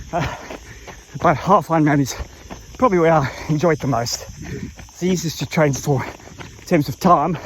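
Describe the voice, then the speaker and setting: Noticeable background noise surrounds a man speaking at a moderate pace. His pitch is fairly high, with ordinary variation. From South Africa. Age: 50s. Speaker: triathlete vlogger. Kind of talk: casual vlog monologue while running. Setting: outdoors on a trail run.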